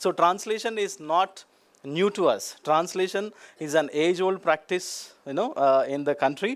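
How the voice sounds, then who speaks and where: On a very clean recording with a silent background, a high-pitched man with a Telugu accent speaks at a moderate pace with ordinary pitch variation. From India, Telugu-speaking region. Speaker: academic speaker. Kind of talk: conference talk. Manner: hesitant fillers, many 'you know'.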